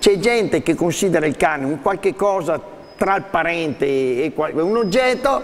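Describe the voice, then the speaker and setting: Here a man talks at a moderate pace in a high pitch. His voice makes very wide pitch swings. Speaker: dog trainer. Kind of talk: TV studio talk and dog training demonstration. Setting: TV studio. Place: studio.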